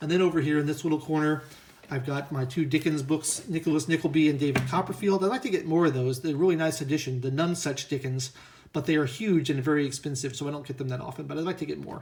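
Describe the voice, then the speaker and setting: Mumbling at a very fast pace, a man speaks at a fairly high pitch, somewhat breathy, with fairly even intonation. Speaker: book reviewer and writer. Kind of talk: casual bookshelf tour. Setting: lying on the floor at home. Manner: stammering, hesitant.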